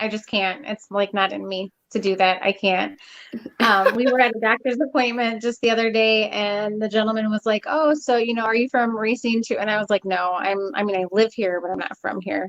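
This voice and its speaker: With an American accent, a woman of fairly high pitch uses a plain, everyday voice and fairly even intonation. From Texas. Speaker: online talk show host. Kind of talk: casual chat.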